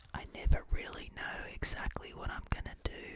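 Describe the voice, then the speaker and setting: Whispered words come at a middling speed over clearly audible background noise. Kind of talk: ASMR whisper video; casual talk to camera. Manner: whispered, soft-spoken.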